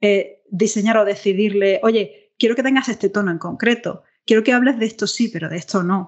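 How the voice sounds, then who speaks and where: Speaking in an Andalusian accent, a woman with a fairly high pitch moves at a moderate pace with hardly any pauses and fairly even intonation. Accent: Andalusian Spanish (Granada). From southern Spain, Granada. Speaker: interaction designer. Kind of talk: podcast interview. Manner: hesitant, many fillers.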